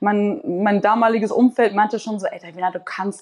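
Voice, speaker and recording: The woman has a normal speaking voice with a fairly high pitch. She speaks at a moderate pace. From Hamburg, Germany (Wellingsbüttel). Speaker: artist. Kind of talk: casual interview.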